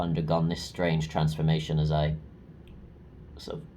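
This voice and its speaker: A man's very deep, low voice with a dark, mellow tone and monotone, flat intonation, in audible room echo. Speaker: vlogger, English teacher. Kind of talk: video diary monologue. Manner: hesitant, many filler ums.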